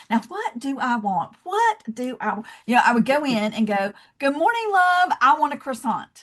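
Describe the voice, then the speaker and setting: A woman speaks in a Southern US accent at a moderate pace. Her voice is somewhat breathy. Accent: Southern American. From US South, Georgia. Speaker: love and leadership speaker, founder. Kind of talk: podcast interview.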